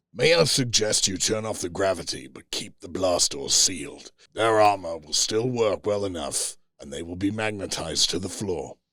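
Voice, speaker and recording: A man's raspy, put-on character voice, fairly low in pitch, at a moderate pace. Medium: read story. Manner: gentle yet overwhelming, measured.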